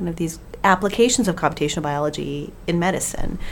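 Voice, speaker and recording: Lively intonation from a woman at a fairly low pitch, at a fairly quick pace. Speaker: podcast co-host. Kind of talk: casual chat.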